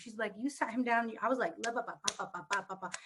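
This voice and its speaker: A woman's animated, very fast speech in a Spanish accent, with ordinary pitch variation. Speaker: panel guest on wellness discussion. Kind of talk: casual panel conversation.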